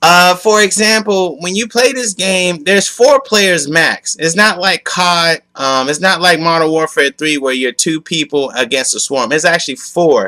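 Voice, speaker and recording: Loud, bright, sharp male voice, high-pitched with lively intonation, at a moderate pace, dry and close with no echo. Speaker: gaming youtuber. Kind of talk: video game commentary rant. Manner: calmer, lower volume than usual.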